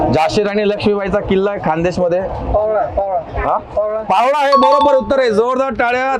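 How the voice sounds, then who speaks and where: Over music in the background, a man speaks at a high pitch with ordinary variation. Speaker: anchor, comedian, mimicry artist. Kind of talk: quiz show hosting. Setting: outdoors. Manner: upbeat.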